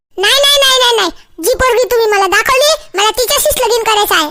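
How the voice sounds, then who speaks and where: Doing a squeaky, cartoonish character voice, a woman speaks at an extremely high pitch and a moderate pace, her loudness very even. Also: lively intonation. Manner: whiny, repetitive protesting.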